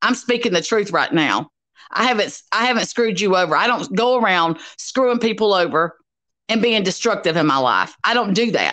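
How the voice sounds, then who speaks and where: Against a quiet background, a woman with a Southern US accent speaks at a moderate pace in a fairly high pitch, her bright, sharp, animated tone carrying lively intonation at a very even loudness. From US South. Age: 50s. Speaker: YouTube commentator. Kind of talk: angry rant vlog. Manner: confrontational. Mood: angry, accusatory. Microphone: video call.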